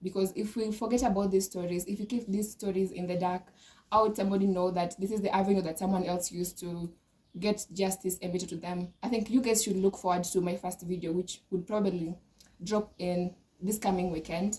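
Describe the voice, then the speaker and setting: Here a woman talks at a fairly quick pace in a medium pitch. Her intonation is monotone and flat. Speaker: law student vlogger. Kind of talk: casual monologue to camera. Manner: hesitant, many filler sounds.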